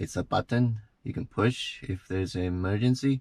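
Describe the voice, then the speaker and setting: A man with a non-native accent speaks at a fairly low pitch in a dry, close sound with no echo, on a very clean recording with a silent background. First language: not English. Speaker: car reviewer / truck owner. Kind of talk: product review. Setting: in a truck.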